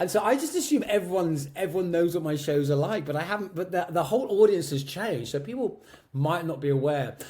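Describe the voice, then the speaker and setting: Somewhat breathy, a man talks with lively intonation in a southern English accent. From Medway, Kent, England. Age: 50s. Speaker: drag and cabaret performer. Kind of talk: interview answer.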